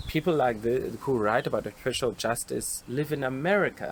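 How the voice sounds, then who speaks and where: A man with a South African accent, moderate pace and ordinary pitch variation. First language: Xhosa. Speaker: occupational therapist. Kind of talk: panel discussion.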